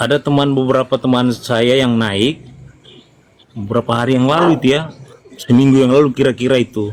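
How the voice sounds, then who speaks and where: With noticeable background noise behind him, a man of medium pitch speaks fairly quickly in a Manado accent, keeping his intonation fairly even. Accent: Manado accent, a bit stiff. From North Sulawesi, Indonesia (Amurang, Manado area). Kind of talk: live-stream Q&A call. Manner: halting.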